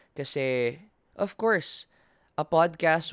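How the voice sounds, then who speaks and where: With a Filipino accent, a man speaks with lively intonation in a dry, close recording with no echo, very clean and set against a silent background. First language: Tagalog. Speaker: student podcaster and campus host. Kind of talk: solo podcast monologue. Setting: home recording on video. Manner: code-switching Taglish.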